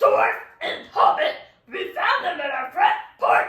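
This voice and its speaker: A put-on character voice booms loudly at an extremely high pitch with very wide pitch swings. It moves at a fairly slow pace, with a slight echo. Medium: read story. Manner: sneering, loud.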